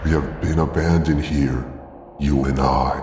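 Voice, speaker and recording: In a put-on character voice, a man talks at a moderate pace, his very deep, low pitch raspy and hoarse, with clear background noise behind him. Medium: read story. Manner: slow, sorrowful.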